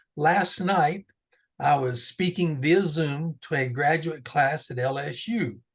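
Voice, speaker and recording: This man speaks with a Texas accent at a fairly high pitch, somewhat breathy, with ordinary pitch variation. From Central Texas Hill Country. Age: 70s. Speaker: retired agricultural education professor. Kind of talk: interview.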